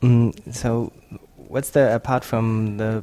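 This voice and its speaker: Speaking with a German accent, a man has a medium pitch and a dark, mellow tone. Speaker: podcast host. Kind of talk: interview. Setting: in person in Oslo.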